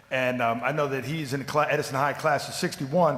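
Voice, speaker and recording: Over noticeable background noise, a man talks at a very fast pace and a fairly high pitch. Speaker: public commenter at school board meeting. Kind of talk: public comment speech. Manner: enthusiastic.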